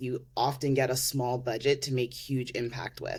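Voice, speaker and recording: In a Canadian accent, a woman talks at a moderate pace with a very deep, low pitch. The recording is very clean, with a silent background. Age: 30s. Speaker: mayoral candidate and policy analyst. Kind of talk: interview.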